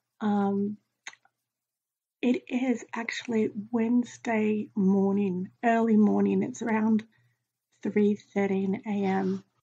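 Her voice dark, mellow, and somewhat breathy, a woman speaks at a very slow pace with a fairly high pitch and fairly even intonation. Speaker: vlogger with chronic illness. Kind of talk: casual vlog to camera. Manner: hesitant, many fillers.

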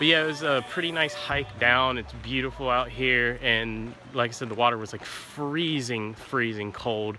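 A man talks at a moderate pace with hardly any pauses and ordinary pitch variation. The sound is dry with no echo, with light background noise. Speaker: travel vlogger. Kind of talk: casual vlog chat. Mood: relaxed, content. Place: forest. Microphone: phone near.

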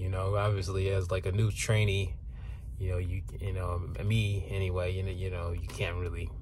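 Over light background noise, a man with a very deep, low pitch speaks at a moderate pace with ordinary pitch variation, the sound dry with no echo. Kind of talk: casual vlog chat. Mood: upbeat, relaxed. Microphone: phone near.

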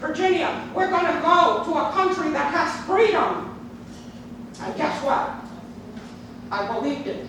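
A woman's extremely high-pitched voice at a fairly slow pace, with audible room echo and noticeable background noise. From New York City, born in Cuba. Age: 70s. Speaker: public commenter, retired psychotherapist. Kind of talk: public comment speech. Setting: county legislative chamber. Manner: impassioned, emphatic.

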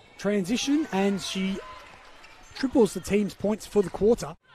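Over noticeable background noise, a man with a high-pitched voice speaks at a fairly quick pace, with ordinary pitch variation. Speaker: basketball commentator. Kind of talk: live sports commentary. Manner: rattles off names and stats.

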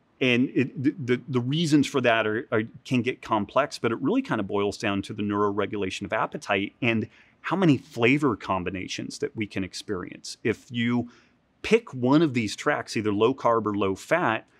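Here a man speaks at a moderate pace with ordinary pitch variation. The sound is dry, with no echo. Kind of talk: interview answer. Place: gym. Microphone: lapel.

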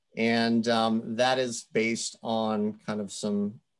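A man's voice against a quiet background. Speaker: state environmental staff presenting inventory; public presenter. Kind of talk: technical presentation. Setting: video call. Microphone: video call.

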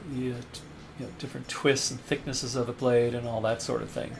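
A man's medium-pitched voice is accompanied by music in the background. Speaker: knife sharpening hobbyist. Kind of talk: casual product review to camera.

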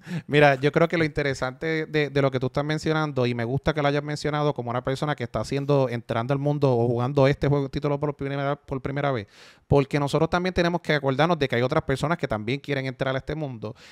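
A man rattles along at a very fast pace with hardly any pauses and fairly even intonation, his voice dry with no echo over a quiet background. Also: fairly high pitch for a man. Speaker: video game reviewer. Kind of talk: casual chat. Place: home room. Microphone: studio mic.

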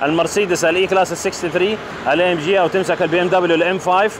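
A man with a high voice talks very fast over noticeable background noise, the sound dry with no echo. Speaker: car reviewer. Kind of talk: car review commentary. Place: street.

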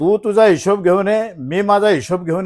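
A man speaks in a flat monotone. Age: 60s. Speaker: politician. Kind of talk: press statement to reporters. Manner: forceful.

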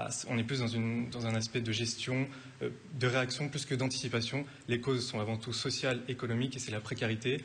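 Over light background noise, a man talks fairly quickly in a flat, monotone delivery. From France. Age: 20s. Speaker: parliamentary candidate. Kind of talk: televised political debate. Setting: TV studio. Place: studio. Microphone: studio mic.

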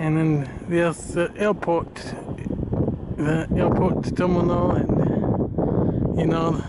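The recording is dry with no echo, though background noise is loud. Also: man. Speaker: plane spotter vlogger. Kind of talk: casual vlog chat. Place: street. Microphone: phone near.

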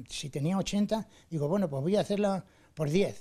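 Against a quiet background, a man talks at a moderate pace with lively intonation and a dark, mellow tone. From Valdepeñas, Ciudad Real, Spain; Ciudad Real, Spain. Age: 70s. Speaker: retired model maker and local historian. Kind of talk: interview. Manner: halting, frequent repetitions. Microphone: handheld.

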